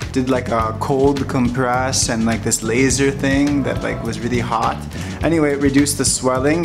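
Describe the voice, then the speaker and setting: A man with ordinary pitch variation over clear background music. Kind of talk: casual vlog chat. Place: home room. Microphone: phone near.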